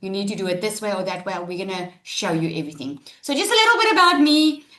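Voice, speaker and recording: The voice is loud, with a bright, sharp tone. It sounds animated and moves at a fairly quick pace. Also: woman. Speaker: online business webinar presenter. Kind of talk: live webinar presentation. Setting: online webinar.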